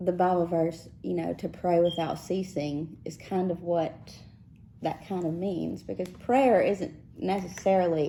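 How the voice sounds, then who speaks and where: A woman's fairly low, dark and mellow voice in a Mississippi accent, at a fairly slow pace. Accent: Southern US (Mississippi). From South Texas, raised in Mississippi. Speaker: podcast co-host. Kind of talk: casual chat.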